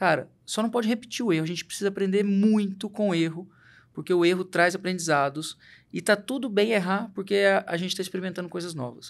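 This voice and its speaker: A very fast-talking man, high in pitch, with ordinary pitch variation, on a very clean recording with a silent background. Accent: mineiro. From Minas Gerais, Brazil. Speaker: company CEO. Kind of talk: interview conversation.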